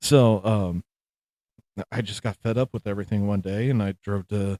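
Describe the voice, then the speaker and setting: This man has a fairly low pitch and a dark, mellow tone, speaking at a moderate pace. The recording is very clean with a silent background and a dry, close sound with no echo. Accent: American. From Missouri. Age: 30s. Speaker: military veteran, podcast host. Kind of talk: casual chat. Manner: halting.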